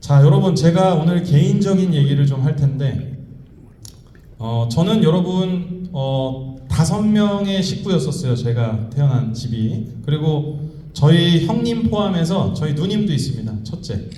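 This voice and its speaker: A man with a fairly high voice speaks at a fairly slow pace in an animated tone with lively intonation, over noticeable background noise and audible room echo. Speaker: economist and professor giving a seminar talk. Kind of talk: motivational lecture to a live audience. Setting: convention center stage with audience. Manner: animated, addresses audience directly.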